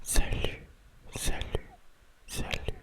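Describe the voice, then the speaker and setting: Someone is whispering at a very slow pace. Noticeable background noise can be heard. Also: man. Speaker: ASMR creator. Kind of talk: ASMR confiding talk. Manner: whispered.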